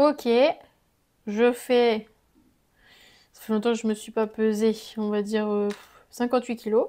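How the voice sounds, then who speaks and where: On a very clean recording with a silent background, a woman speaks at a fairly slow pace in a flat monotone, with long, frequent pauses. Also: fairly high pitch for a woman. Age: 20s. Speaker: sewing vlogger. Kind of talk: informational explainer; product review vlog. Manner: casual.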